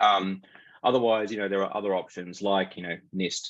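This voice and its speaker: The background stays quiet. Against it, a man talks with a fairly low pitch. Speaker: cybersecurity lecturer. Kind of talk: webinar lecture. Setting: online webinar. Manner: fast; hesitant, many fillers.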